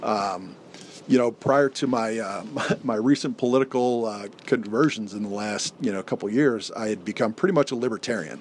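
At a moderate pace, a man with a medium pitch and ordinary pitch variation speaks in a plain, everyday voice. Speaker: family leader and friend of host. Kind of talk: casual chat. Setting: treehouse with heater running.

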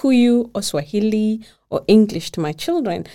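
This woman has a dark, mellow tone at a medium pitch, and her intonation is lively. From Kenya. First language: Kikuyu. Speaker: blogger and mom living in Denmark. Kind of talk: casual interview chat.

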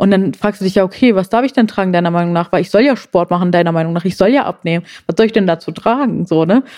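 At a very fast pace with hardly any pauses, a woman speaks at medium pitch in a dark, mellow tone with ordinary pitch variation. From Germany. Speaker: plus-size model and body positivity activist. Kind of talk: casual interview chat.

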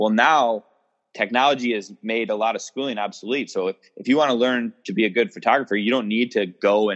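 Here a man has an unremarkable speaking voice, fairly low in pitch, with fairly even intonation at a fairly quick pace. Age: 30s. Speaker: entrepreneur and firearms instructor. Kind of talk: casual chat.

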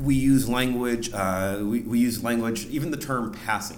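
With audible room echo, a man speaks at medium pitch with ordinary pitch variation. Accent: American. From Ohio, US (Lorain). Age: 40s. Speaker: PhD student and podcast host. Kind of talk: live panel discussion. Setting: stage with audience.

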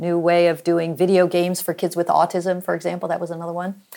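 Spoken with an American accent, this is an unremarkable speaking voice. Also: woman. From Oklahoma, US. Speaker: physician and health tech executive. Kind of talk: interview.

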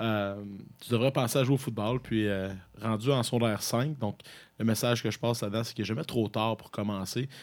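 An ordinary speaking voice from a man at medium pitch, fairly even in intonation and fairly quick in pace, on a very clean recording with a silent background. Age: 30s. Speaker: university football head coach. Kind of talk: interview.

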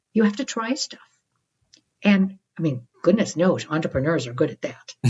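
A woman's pitch swings very widely. Vocal fry comes through in her voice. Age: 60s. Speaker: psychologist and author. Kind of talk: interview.

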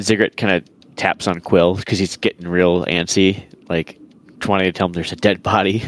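With a dry, close sound and no echo, a man speaks in a very deep, low pitch with fairly even intonation. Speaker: tabletop RPG player. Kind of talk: casual tabletop game chat. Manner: halting, many filler words.

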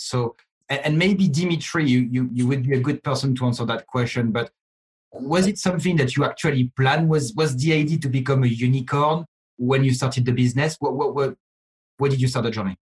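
A somewhat breathy man talks at a fairly quick pace with very even loudness, the sound dry and close with no echo. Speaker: podcast host and company CEO. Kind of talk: panel moderation.

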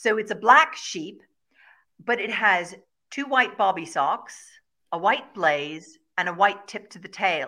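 With an Irish accent, a woman speaks in a bright, sharp tone with lively intonation. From Ireland, Kilkenny. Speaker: shepherd and regenerative farmer. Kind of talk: interview.

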